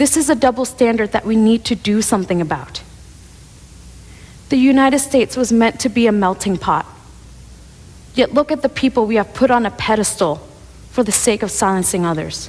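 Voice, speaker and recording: Pausing long and often, a woman talks at a fairly quick pace with a fairly high pitch and lively intonation. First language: Cantonese. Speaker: speaker on multilingualism. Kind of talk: prepared speech.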